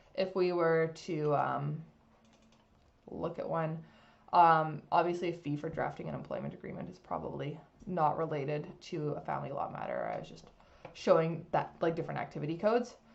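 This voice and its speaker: Amid audible room echo, a woman's voice shows big swings in loudness. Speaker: legal software consultant. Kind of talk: software demo tutorial. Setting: screen recording. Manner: fast; casual, many fillers.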